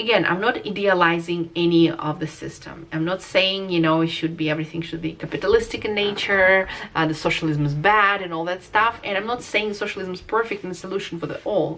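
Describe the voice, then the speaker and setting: A woman talks fairly quickly in a Russian accent, at a medium pitch with ordinary pitch variation. Noticeable background noise is present. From Russia, Moscow. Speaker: vlogger. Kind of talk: casual vlog monologue. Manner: hesitant, many fillers.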